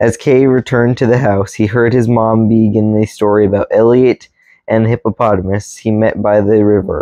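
A man talks in a monotone, flat intonation, with a dry sound with no echo and a quiet background. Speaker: reader. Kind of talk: reading aloud from a book. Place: home room. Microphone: camera far.

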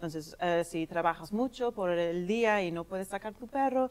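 The woman's intonation is lively. She talks fairly slowly. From England. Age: young. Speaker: dog daycare owner. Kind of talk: TV interview. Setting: TV studio. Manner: halting.

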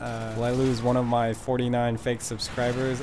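Over noticeable background noise, a man with an American accent speaks at a medium pitch in a deadpan tone. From US. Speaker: gaming commentator. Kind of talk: stand-up style comedic gaming commentary with jokes and riffs over gameplay. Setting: recorded voiceover over video game footage. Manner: deadpan, sarcastic, quick-witted joke delivery; animated, mock-enraged.

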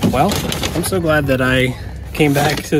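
A man is heard with a dry sound with no echo and noticeable background noise. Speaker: card collecting vlogger. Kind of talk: casual vlog chat. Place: car. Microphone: phone near.

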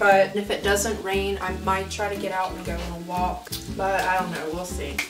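The speaker is a woman at a moderate pace. Music plays clearly behind her. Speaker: vlogger. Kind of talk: casual vlog chat. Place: kitchen.

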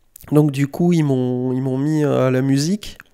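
This man's dark, mellow tone carries fairly even intonation. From France, Bordeaux area (Saint-Médard). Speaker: skateboard coach and skatepark designer. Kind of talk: casual interview. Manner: hesitant, many fillers.

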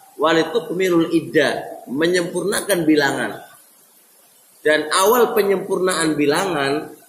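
Audible room echo surrounds a man speaking in a high pitch. His pace is fairly slow. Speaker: Islamic teacher. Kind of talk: lecture. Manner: didactic, repeats phrases. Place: classroom.

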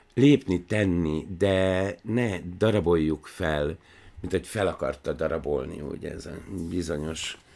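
Very slowly, a man speaks at a very deep, low pitch with ordinary pitch variation and big swings in loudness. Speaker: film analysis show host. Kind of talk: monologue commentary. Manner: animated; tense, almost angry. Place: office. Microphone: studio mic.

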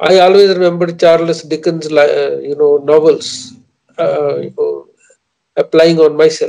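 In an Indian accent, a man talks at a fairly slow pace. The background is quiet. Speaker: poet. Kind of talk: interview. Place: office. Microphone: video call.

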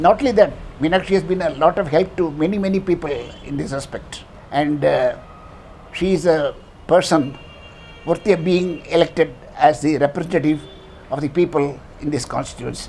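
Music plays in the background as a man talks in a high voice. His pace is fairly quick, broken by long, frequent pauses. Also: ordinary pitch variation. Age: old. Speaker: senior citizen endorsing a candidate. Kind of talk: political endorsement testimonial. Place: home room. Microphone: lapel.

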